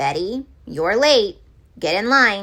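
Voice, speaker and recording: A woman's put-on character voice at medium pitch. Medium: read story. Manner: stern.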